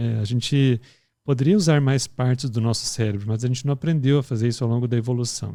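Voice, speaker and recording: Soft-spoken and dark, mellow in tone, a man talks at a fairly quick pace with ordinary pitch variation. The recording is very clean, with a silent background. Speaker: pediatric intensive care professional. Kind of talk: podcast discussion.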